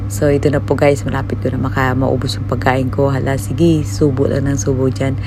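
With music in the background, the speaker talks at a fairly quick pace. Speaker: overseas worker vlogger. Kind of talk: casual vlog. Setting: break room at work. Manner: casual, polite.

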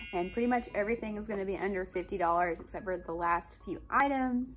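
A woman's voice with ordinary pitch variation over background music. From Alabama, US. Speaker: stay-at-home mom and lifestyle vlogger. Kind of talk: casual talk to camera. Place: home room. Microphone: phone near.

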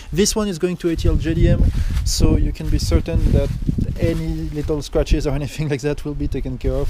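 A man talks at a fairly quick pace over noticeable background noise. The sound is dry, with no echo. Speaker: car seller or reviewer. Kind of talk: casual walk-around commentary. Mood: relaxed, laughing at times. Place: street. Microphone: phone near.

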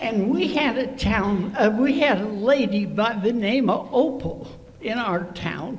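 Strong room echo surrounds lively intonation delivered at a fairly slow pace. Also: woman, fairly high pitch for a woman.

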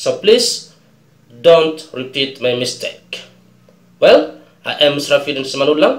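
A fairly high-pitched man in an Indonesian accent, fairly slow with long, frequent pauses, ordinary pitch variation, and audible room echo. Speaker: English teacher. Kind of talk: tutorial.

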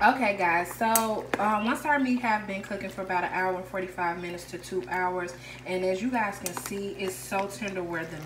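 A woman with a fairly low pitch talks at a moderate pace. Her intonation is fairly even, with clear background noise behind her.

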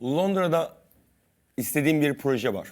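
A man is speaking. He talks at a fairly slow pace. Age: 30s. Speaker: cooking competition champion. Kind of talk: TV talk show interview.

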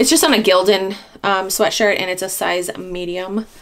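A woman with an American accent and medium pitch, with noticeable background noise. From Maine, US. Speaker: reseller and haul vlogger. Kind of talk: casual vlog haul. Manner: chatty, friendly, casual.

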